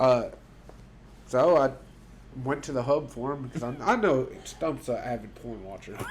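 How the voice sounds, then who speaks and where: With noticeable background noise, a man talks at a moderate pace in a medium pitch, using ordinary pitch variation and long, frequent pauses. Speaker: podcast co-host. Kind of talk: casual chat. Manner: animated.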